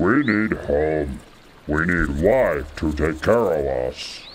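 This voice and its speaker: A man growls in a put-on character voice, very deep and low, at a very slow pace. Clear background noise is present. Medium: audio drama. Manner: broken grammar, blunt and simple.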